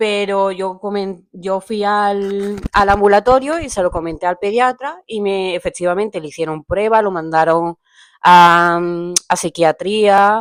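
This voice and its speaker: On a very clean, dry and close recording with no echo and a silent background, a woman speaks fairly slowly at a medium pitch with ordinary pitch variation. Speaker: parent of child with ADHD. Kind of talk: testimony.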